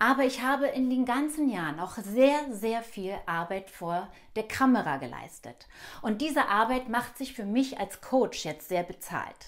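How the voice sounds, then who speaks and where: Against a quiet background, a woman talks at a fairly slow pace in a fairly high pitch with lively intonation. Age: 50s. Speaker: actress and acting coach; actress, acting coach. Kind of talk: self-introduction video. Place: home room. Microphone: lapel.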